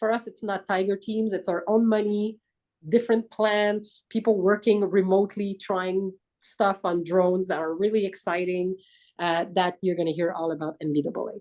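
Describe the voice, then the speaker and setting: With a French accent, a woman talks at a moderate pace in a medium pitch, her intonation fairly even. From France. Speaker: business aviation industry executive. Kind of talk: webinar panel discussion.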